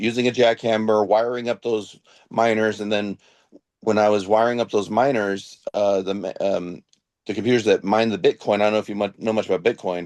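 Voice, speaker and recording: A fairly quick, monotone voice with flat intonation comes through dry and close with no echo. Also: man, fairly low pitch for a man. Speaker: father in a separated couple. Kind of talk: emotional podcast conversation. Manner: halting, many fillers.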